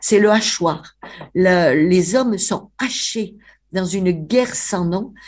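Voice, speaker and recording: Her pitch sits at a medium level. The woman talks at a very slow pace. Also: ordinary pitch variation. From Avignon, Provence, France. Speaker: writer, biographer. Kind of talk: interview, storytelling. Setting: remote line to radio studio. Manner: animated.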